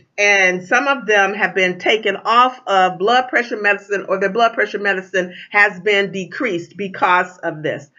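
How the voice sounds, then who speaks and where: Hardly pausing, a woman talks in an ordinary speaking voice at a medium pitch and a moderate pace, with ordinary pitch variation. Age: 60s. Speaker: tea distributor. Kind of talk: sales pitch. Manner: casual, with many fillers.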